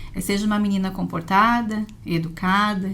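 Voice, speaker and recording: Somewhat breathy and at a medium pitch, a woman speaks in a monotone, flat intonation. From Brazil, Santa Catarina (Imbituba). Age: 40s. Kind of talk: podcast interview.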